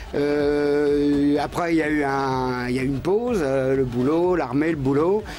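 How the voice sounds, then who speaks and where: Noticeable background noise sits behind the voice. A man speaks at a fairly high pitch. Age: 60s. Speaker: amateur martial arts practitioner. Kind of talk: TV interview. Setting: TV studio. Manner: halting, repetitive.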